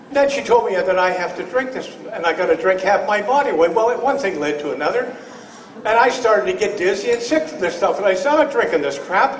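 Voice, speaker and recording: A man's fairly quick speech, full of very wide pitch swings, carries audible room echo and noticeable background noise. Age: 70s. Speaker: testimonial speaker at a health product event. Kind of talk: personal testimony. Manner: animated; halting, with repetitions.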